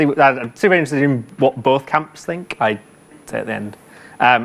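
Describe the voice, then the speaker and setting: Here a man speaks with a British accent. His pitch is medium. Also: ordinary pitch variation. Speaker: conference speaker, software engineer. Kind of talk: conference talk. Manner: fast.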